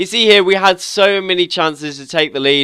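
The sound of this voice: A man speaks at a moderate pace with a nasal, bright, sharp tone. His tone is also clear and smooth.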